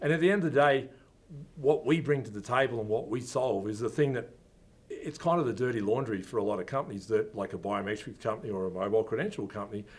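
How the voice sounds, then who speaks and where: Talking at a very fast pace, a man with a medium pitch and an Australian accent uses ordinary pitch variation. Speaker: company founder. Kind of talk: interview. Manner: casual, with fillers.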